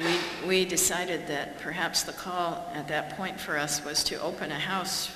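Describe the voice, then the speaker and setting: A woman at a fairly slow pace with fairly even intonation, noticeable background noise behind her. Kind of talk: public talk. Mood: warm, wry humour. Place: hall. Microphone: podium.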